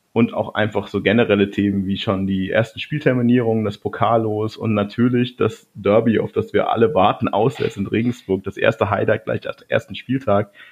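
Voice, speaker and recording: At a moderate pace with hardly any pauses, a man of medium pitch talks with fairly even intonation. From Bavaria, Ingolstadt. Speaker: podcast host. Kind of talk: casual chat.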